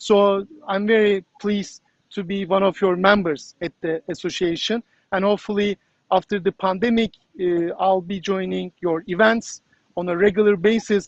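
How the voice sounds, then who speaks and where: A moderate pace and monotone, flat intonation in a Turkish accent. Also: man, high pitch for a man. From Turkey. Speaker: journalist. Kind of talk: interview. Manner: halting, many fillers.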